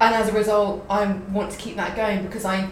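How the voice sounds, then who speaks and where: With audible room echo and noticeable background noise, a woman speaks fairly quickly at a medium pitch. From London. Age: 20s. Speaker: creative producer. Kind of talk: casual interview chat.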